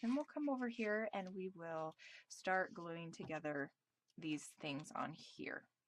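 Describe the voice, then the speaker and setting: At a fairly slow pace, a woman talks with lively intonation and a medium pitch. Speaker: craft video maker. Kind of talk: tutorial. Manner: casual, filler-heavy; loud.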